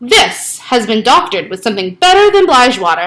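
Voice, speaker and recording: A woman puts on a growling character voice, high in pitch with very wide pitch swings, at a fairly quick pace. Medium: read story. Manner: growling, muttering.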